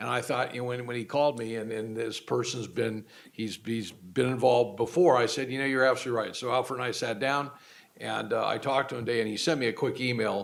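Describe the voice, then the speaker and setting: Speaking very fast, a man uses a medium pitch and fairly even intonation. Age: 60s. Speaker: community college board trustee. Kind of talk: public board meeting remarks. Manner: halting, with many repeated words.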